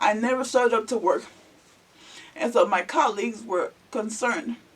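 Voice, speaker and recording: Noticeable background noise runs behind a voice with an American accent. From Alabama, US South. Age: 40s. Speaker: vlogger. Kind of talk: casual storytelling vlog. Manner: halting, many fillers.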